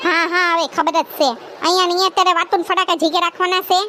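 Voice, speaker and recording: A woman performs a cartoonish character voice at an extremely high pitch, speaking at a fairly quick pace in a monotone, flat intonation over clear background noise. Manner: sarcastic, grumbling.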